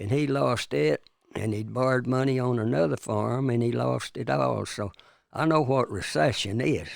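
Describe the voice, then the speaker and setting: In a Texan accent, a man speaks at a moderate pace. His medium-pitched voice swings very widely in pitch. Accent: Texan Southern US. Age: 90s. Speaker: retired farmer. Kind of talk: casual interview. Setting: studio.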